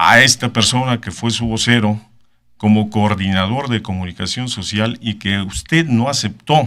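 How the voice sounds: At a fairly slow pace, a man talks with a fairly low pitch, ordinary pitch variation and a fairly bright tone.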